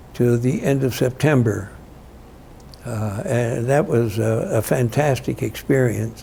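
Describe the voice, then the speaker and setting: A man with a US Midwestern accent, medium pitch, ordinary pitch variation, and a very slow pace. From Illinois, US Midwest. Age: 80s+. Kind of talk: oral history interview answer. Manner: hesitant, reflective, many fillers.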